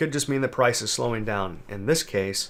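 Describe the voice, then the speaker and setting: Here a man uses an ordinary speaking voice at medium pitch. He moves at a fairly quick pace. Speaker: trading educator. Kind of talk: tutorial.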